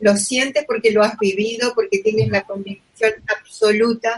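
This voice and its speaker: Here is a woman with an ordinary speaking voice. Her pitch is fairly high and her pace fairly slow. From Argentina. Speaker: podcast host. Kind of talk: interview.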